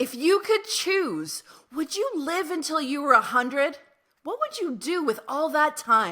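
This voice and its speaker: A woman's high-pitched voice comes out raised and projected. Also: lively intonation, fairly slow pace. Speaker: psychotherapist and podcast host. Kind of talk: podcast intro monologue.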